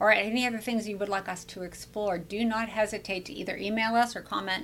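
Delivered at a fairly quick pace, the voice has a bright, sharp tone and ordinary pitch variation. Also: woman. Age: 60s. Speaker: podcast host and brain health coach. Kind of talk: casual interview. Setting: studio at a wellness center.

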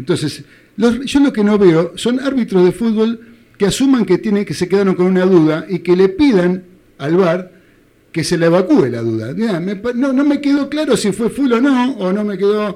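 A man's high-pitched voice, dark and mellow in tone, with lively intonation at a moderate pace. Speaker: radio sports show host. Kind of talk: radio sports talk show. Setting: radio studio.

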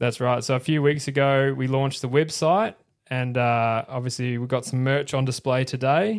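A man with an Australian accent talks at a moderate pace. His pitch sits in the medium range, with ordinary variation. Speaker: podcast host. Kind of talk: casual chat. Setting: live-streamed podcast studio.

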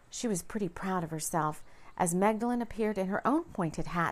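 In a very clean recording with a silent background, a woman with a medium pitch speaks at a fairly quick pace in an animated, dramatic tone with ordinary pitch variation. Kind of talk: fairy-tale audiobook narration. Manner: storyteller's lilting read, animated, dramatic.

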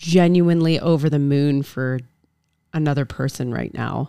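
Her pitch sits very deep and low for a woman, with fairly even intonation. The woman keeps a moderate pace. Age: 30s. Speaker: podcast co-host. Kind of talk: casual chat.

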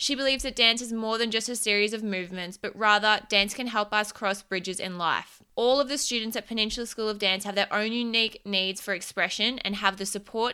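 In an Australian accent, a woman with a fairly high pitch and a bright, sharp tone speaks at a fairly quick pace on a very clean recording with a silent background. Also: hardly any pauses. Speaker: podcast host and business coach. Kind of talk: interview.

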